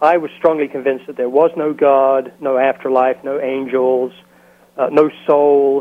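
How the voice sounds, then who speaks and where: Flat, monotone intonation marks this man's delivery. He has a fairly high pitch and an American accent. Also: fairly slow pace. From London, England (East End). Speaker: educator. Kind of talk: interview. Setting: phone call.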